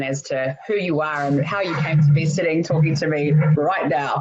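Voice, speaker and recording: A woman speaks with a New Zealand accent in a very deep, low register. Her intonation stays fairly even. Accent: New Zealand accent, Australian twang dropped. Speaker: podcast host. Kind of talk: interview conversation.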